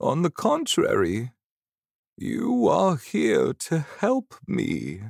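In a very clean recording with a silent background, a man uses a put-on character voice, fairly high in pitch with very wide pitch swings and vocal fry, speaking at a very slow pace.

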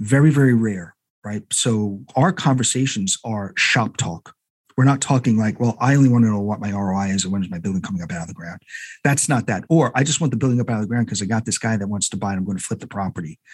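This man talks very fast in a fairly low pitch, with ordinary pitch variation. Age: old. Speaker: architect. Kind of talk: casual chat. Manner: halting.

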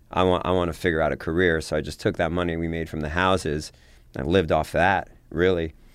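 At a very fast pace, a man with a very deep, low voice speaks in a monotone, flat way against a quiet background. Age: 40s. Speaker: entrepreneur. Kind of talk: interview.

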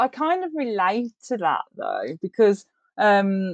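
A woman speaks very slowly in an English accent. The sound is dry and close, with no echo. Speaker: book club reviewer. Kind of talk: casual chat.

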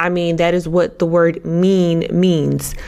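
A woman's animated tone at a fairly slow pace. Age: 30s. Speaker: podcast host and fashion stylist. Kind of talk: casual solo podcast talk.

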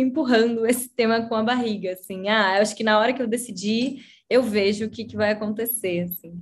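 With a somewhat breathy voice, a woman talks at a moderate pace and with fairly even intonation. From Brazil, Curitiba. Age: 30s. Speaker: designer. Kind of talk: casual chat.

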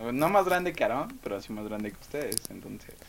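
A man with a Mexican accent and lively intonation, over noticeable background noise. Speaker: student, podcast co-host. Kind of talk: casual chat.

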